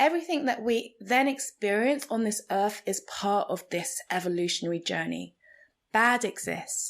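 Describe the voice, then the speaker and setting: A woman with a fairly high pitch and vocal fry talks at a fairly slow pace with lively intonation, on a very clean recording with a silent background. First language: Igbo. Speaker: podcast host, spiritual coach. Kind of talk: reflective monologue podcast.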